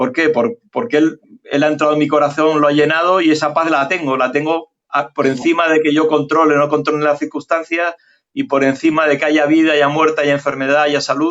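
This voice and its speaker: A man speaks with fairly even intonation and a fairly high pitch. His pace is fairly quick. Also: very even loudness. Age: 60s. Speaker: physician and journalist. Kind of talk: interview. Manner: hesitant, many fillers.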